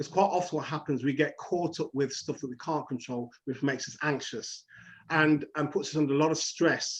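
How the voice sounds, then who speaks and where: Here a man speaks with a Leicester accent. His pitch is fairly high and his intonation fairly even. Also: moderate pace. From England, Leicester. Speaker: counsellor. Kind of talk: interview.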